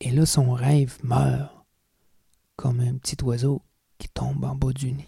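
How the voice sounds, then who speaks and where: At a very slow pace with long, frequent pauses, the voice speaks in an intense, dramatic tone with a Quebec accent. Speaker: storyteller. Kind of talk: storytelling performance. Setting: stage with audience, in dim light. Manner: dark, intense, dramatic, with a slow deliberate pace and repeated phrases; colloquial Quebec French, conversational and raw, like a street-wise narrator.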